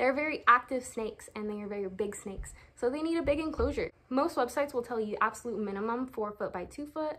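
Very fast and with hardly any pauses, a woman speaks at a high pitch in a bright, sharp tone. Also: ordinary pitch variation. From Oxnard, California. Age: 20s. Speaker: snake keeper. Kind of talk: casual talk to camera. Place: home room. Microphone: phone near.

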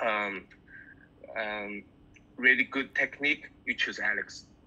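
Very slowly, a man speaks in a bright, sharp tone with fairly even intonation. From China. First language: Mandarin Chinese. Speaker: bassist; guest. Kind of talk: interview. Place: home room. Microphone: video call.

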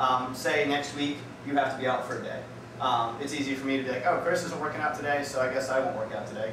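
A man talking very fast, with noticeable background noise and audible room echo. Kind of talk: casual vlog chat. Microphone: camera far.

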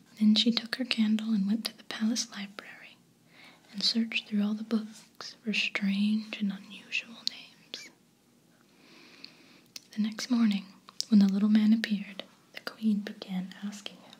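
Whispering and soft-spoken, the voice moves at a moderate pace with long, frequent pauses. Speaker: storybook reader. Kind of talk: storytelling read-aloud. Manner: soft-spoken whispery bedtime reading.

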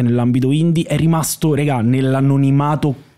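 Moderate pace and a dark, mellow tone against a quiet background. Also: man. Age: 30s. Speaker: comedy writer and actor; podcast guest. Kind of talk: casual chat. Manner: halting. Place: studio. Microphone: studio mic.

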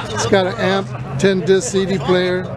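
A man speaks at a fairly slow pace in a dry sound with no echo, with crowd noise in the background. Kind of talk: interview answer. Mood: proud, relaxed. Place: street. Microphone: phone near.

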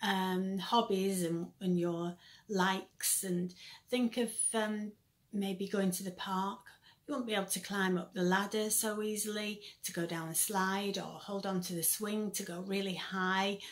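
A woman speaks at a fairly slow pace. Her intonation is monotone and flat. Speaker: children's church teacher. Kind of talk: children's Bible lesson. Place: home room. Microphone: phone near.

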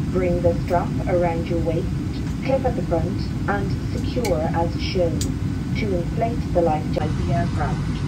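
A woman speaks at a fairly slow pace, with long, frequent pauses. Loud background noise runs underneath. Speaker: cabin crew announcer. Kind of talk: safety announcement. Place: plane.

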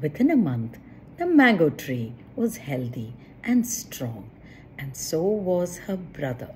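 Speaking at a slow pace, a woman uses a low pitch, big pitch swings and a slightly mellow tone.

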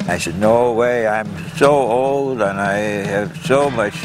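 This man has a medium-pitched voice and an American accent. Music plays in the background. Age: 90s. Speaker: barefoot water skier. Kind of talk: interview answer. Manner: reflective, conversational.

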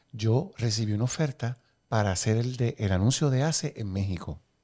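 Recorded very cleanly against a silent background, a man speaks at a fairly slow pace with lively intonation. His voice is medium in pitch, somewhat breathy and dark, mellow in tone. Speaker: podcast host. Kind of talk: interview.

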